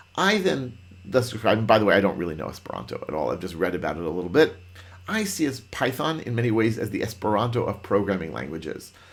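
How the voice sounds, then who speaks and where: A man's fairly low voice, animated in tone and lively in intonation, at a very fast pace amid audible room echo. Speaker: Python trainer. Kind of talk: lecture.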